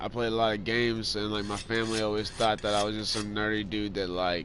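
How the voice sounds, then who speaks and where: With a fairly low pitch, a man talks at a very fast pace over audible room echo. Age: 20s. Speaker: video game streamer. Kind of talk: casual chat while gaming. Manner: rambling, halting with many fillers.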